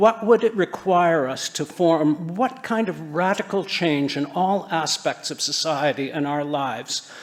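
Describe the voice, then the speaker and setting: A man with an ordinary speaking voice talks at a fairly slow pace, his pitch fairly high and its variation ordinary. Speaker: conference speaker on sustainable building. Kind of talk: conference talk.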